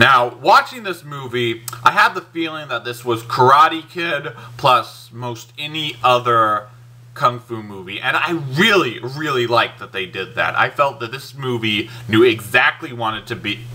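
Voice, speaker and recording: Over noticeable background noise, a man talks at a fairly slow pace and a medium pitch. His pitch variation is ordinary, with big swings in loudness. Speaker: movie reviewer. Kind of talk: movie review. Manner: casual, enthusiastic; halting, self-correcting.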